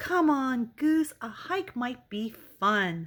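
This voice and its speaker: A female-sounding, put-on character voice speaks at a high pitch. The pace is very slow. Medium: read story.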